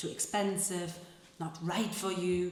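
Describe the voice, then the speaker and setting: Noticeable background noise sits under a woman with a German accent. She speaks at a very slow pace with ordinary pitch variation. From Germany. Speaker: actress and translator. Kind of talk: live literary reading. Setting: live event hall with guitar accompaniment.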